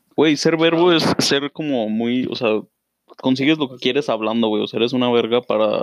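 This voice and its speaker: A man talks at a medium pitch with ordinary pitch variation. His delivery is fairly quick, in an unremarkable speaking voice. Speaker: podcast co-host. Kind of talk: casual chat.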